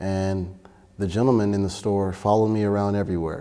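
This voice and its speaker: Fairly quick and flat, a man with a Miami accent speaks in a monotone with a dark, mellow tone and a fairly low pitch. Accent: Miami American English. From Miami, Florida. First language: Spanish. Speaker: church member. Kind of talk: interview testimony. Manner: casual, hesitant with fillers.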